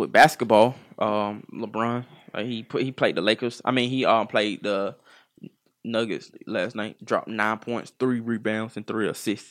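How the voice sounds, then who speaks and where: A man's medium-pitched voice at a fairly slow pace, monotone and flat, on a very clean recording with a silent background. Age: 20s. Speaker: podcast co-host. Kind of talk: casual chat.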